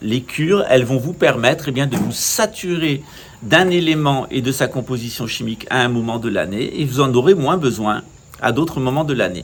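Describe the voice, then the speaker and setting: This man has a fairly high pitch and lively intonation at a moderate pace. Noticeable background noise sits behind him. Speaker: channel host, naturopathy speaker. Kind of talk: monologue talk.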